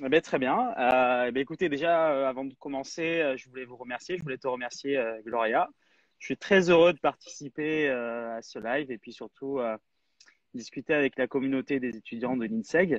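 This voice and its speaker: A man talks at medium pitch in a normal speaking voice, keeping a moderate pace. His pitch varies in an ordinary way while his loudness swings widely. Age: 30s. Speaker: app founder, entrepreneur. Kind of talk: live interview.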